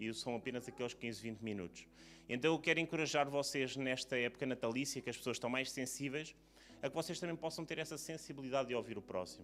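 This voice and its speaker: This man rattles along at a very fast pace, his medium pitch carrying ordinary pitch variation. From Portugal. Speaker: preacher. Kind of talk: sermon. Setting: church service.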